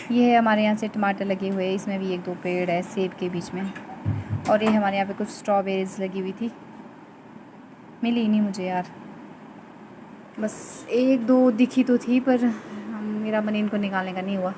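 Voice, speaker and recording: Soft-spoken and medium in pitch, a woman talks with fairly even intonation and long, frequent pauses over noticeable background noise. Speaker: vlogger. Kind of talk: casual vlog narration. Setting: outdoors in garden. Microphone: too quiet.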